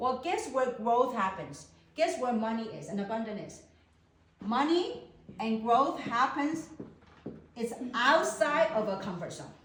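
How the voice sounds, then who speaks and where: A woman with a Chinese accent speaks at a fairly slow pace in a high voice, with very wide pitch swings and big swings in loudness. Long, frequent pauses break up her speech, and the recording has audible room echo and noticeable background noise. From China. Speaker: network marketing business presenter. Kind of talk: business opportunity presentation.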